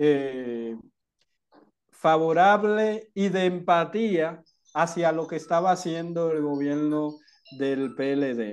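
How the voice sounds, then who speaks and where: A man with a Dominican accent, high-pitched with ordinary variation, at a very slow pace against a quiet background. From Dominican Republic. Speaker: activist. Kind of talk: interview.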